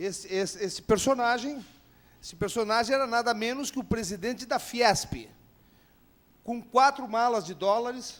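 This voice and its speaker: Speaking at a fairly slow pace, a man has a high pitch with ordinary pitch variation. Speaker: panel speaker, son of former president. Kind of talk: panel talk. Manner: halting, many repetitions.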